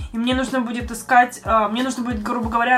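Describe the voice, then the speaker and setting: A woman's fairly high voice races at a very fast pace, its pitch varying in an ordinary way amid noticeable background noise. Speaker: podcast host. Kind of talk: casual chat.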